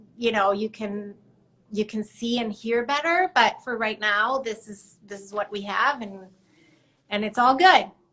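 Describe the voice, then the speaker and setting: Bright, sharp tone in a fairly high female voice. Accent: Spanish. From Mexico City. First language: Spanish. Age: 50s. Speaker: artist. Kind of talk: casual chat. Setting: live stream.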